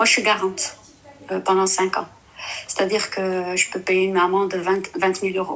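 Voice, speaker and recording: Over noticeable background noise, a woman of medium pitch talks at a moderate pace in a monotone, flat intonation, leaving long, frequent pauses. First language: Dutch (speaking French). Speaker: caller. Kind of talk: testimony. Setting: live stream call. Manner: halting, hesitant.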